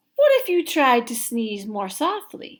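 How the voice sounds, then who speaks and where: At a fairly slow pace, a woman puts on a character voice with a high pitch. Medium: read story.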